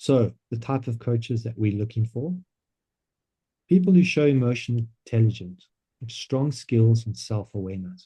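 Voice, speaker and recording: A man with a medium pitch speaks at a moderate pace in a dark, mellow, somewhat breathy tone, with ordinary pitch variation and long, frequent pauses. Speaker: business coach presenting a coaching platform. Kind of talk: online presentation.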